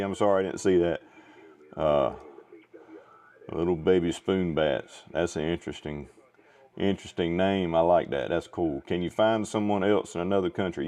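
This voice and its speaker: With an American accent, a man speaks at a fairly quick pace in a very deep, low voice. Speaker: ham radio livestreamer. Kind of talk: ham radio net chat. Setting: radio transmission, livestream.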